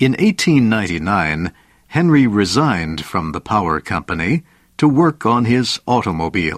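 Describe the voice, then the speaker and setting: A man's fairly low voice with very wide pitch swings, dry and close with no echo over a quiet background. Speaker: narrator. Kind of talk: vintage educational biography narration, scripted. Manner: slow, clear, measured; formal, even, simplified vocabulary.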